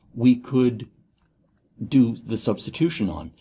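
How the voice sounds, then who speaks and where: A man speaks in a dark, mellow tone that is somewhat breathy. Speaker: university lecturer. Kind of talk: lecture. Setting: recorded video lecture. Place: studio.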